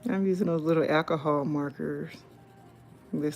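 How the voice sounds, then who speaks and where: In a Southern US accent, the voice has a calm, relaxed tone, ordinary pitch variation, and a moderate pace, with music in the background. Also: woman. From South Carolina, US South. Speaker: YouTuber and author. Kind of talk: live stream casual chat while coloring.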